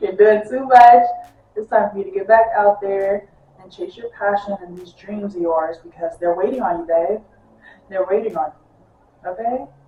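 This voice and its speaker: With music in the background, a woman at medium pitch speaks at a moderate pace, using ordinary pitch variation, big swings in loudness, and long, frequent pauses. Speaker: tarot reader. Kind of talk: tarot reading monologue. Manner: casual, animated.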